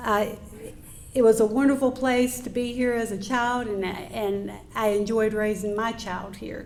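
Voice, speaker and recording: This woman has a North Carolina accent and a fairly high pitch. Her pace is moderate and her intonation monotone and flat. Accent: Southern rural North Carolina. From US South, North Carolina (Yadkin County). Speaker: appeals court judge. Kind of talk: after-dinner speech. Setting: banquet with audience. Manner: conversational.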